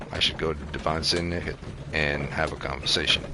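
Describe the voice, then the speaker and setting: Noticeable background noise sits behind a man with a very deep, low voice speaking at a moderate pace. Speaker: video game streamer. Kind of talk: live gameplay commentary. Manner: halting.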